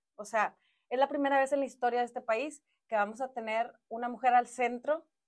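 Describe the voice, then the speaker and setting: Against a quiet background, a woman talks at a moderate pace in a high pitch with ordinary pitch variation. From Mexico, Monterrey; Nuevo León, Mexico. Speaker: politician, former city councillor. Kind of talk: interview. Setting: studio. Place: studio. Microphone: lapel.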